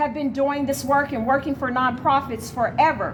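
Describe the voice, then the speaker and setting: A woman with an American accent talks at a moderate pace and a high pitch. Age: 60s. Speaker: activist, nonprofit director. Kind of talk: debate.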